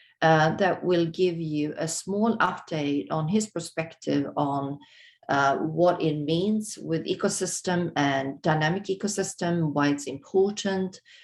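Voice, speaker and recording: At a fairly slow pace, a woman with a Swedish accent speaks in a fairly low voice with ordinary pitch variation. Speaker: webinar host, moderator. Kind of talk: webinar introduction. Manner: halting, many fillers.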